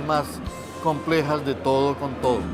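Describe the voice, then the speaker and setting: A man at a moderate pace with fairly even intonation, music in the background. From Colombia. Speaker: writer. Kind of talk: interview answer.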